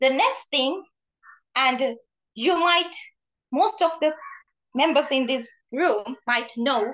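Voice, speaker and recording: A woman speaks very slowly in a high voice, with long, frequent pauses. Her pitch swings very widely. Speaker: club member. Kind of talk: prepared speech. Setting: video call. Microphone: video call.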